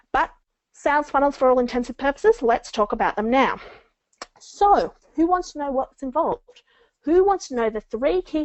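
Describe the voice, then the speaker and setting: A woman speaks with a high pitch and very wide pitch swings. Her loudness swings a lot as well. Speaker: book marketing coach. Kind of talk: webinar presentation. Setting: online webinar. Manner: fast.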